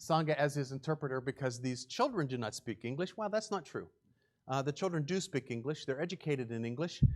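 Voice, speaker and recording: A man with a West Virginia accent speaks at a very fast pace. His pitch is fairly high and his intonation lively. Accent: West Virginia English, speaks it a weird way. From West Virginia, Morgantown area. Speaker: charity presenter. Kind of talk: church presentation with slides. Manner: casual, filler-heavy speech.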